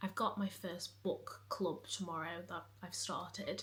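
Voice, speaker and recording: Her voice, medium in pitch for a woman, carries vocal fry and a monotone, flat intonation. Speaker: book vlogger. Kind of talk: casual vlog chat.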